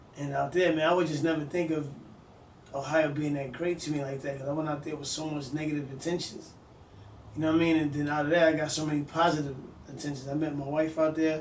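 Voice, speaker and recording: With audible room echo, a man speaks at a fairly quick pace in a fairly high pitch, his intonation monotone and flat. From New York City (Bronx, Harlem). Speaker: music industry executive. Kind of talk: casual interview. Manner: casual, repetitive fillers.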